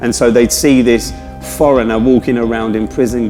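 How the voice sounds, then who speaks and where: A man with a south-east London accent, medium pitch and very fast pace, music in the background. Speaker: journalist. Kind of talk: interview answer.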